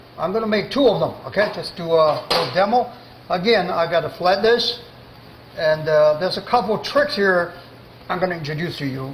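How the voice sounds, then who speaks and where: Speech at a moderate pace carries audible room echo over light background noise. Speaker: chef instructor. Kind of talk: cooking demonstration tutorial. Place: kitchen.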